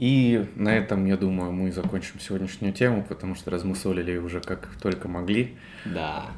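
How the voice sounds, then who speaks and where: A man talks at a moderate pace, his very deep, low voice showing ordinary pitch variation. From Russia, Belgorod. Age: 20s. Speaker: podcast co-host, digital marketer. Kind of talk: casual chat.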